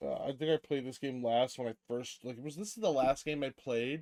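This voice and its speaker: A man's voice at a medium pitch. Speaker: gaming YouTuber. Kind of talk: casual gameplay commentary. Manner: halting, stuttering over words.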